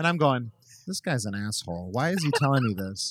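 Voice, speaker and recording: The sound is dry and close, without any echo. A man is speaking at a very fast pace. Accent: American. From Minnesota, Minneapolis suburbs. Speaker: chef and restaurateur. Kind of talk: casual interview. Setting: in person at his restaurant.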